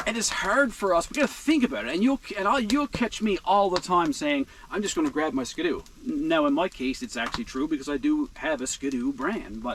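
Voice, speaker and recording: Noticeable background noise accompanies a fairly quick voice with a strong Newfoundland accent and very wide pitch swings. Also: man. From Newfoundland, Canada. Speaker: outdoor vlogger. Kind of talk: casual vlog monologue. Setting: inside a heated tent in a blizzard.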